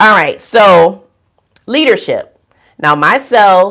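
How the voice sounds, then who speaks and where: A woman speaks very slowly with lively intonation in a very clean recording with a silent background. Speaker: nurse. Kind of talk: livestream talk. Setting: livestream from a room. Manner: loud. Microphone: too close to the mic, too loud.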